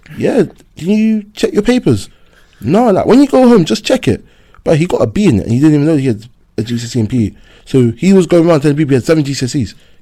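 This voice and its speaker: At a fairly quick pace, a man with a London accent and a dark, mellow tone talks with very wide pitch swings. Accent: London multicultural English. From West London, West Indian family. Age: young. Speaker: secondary school PE teacher. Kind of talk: casual chat.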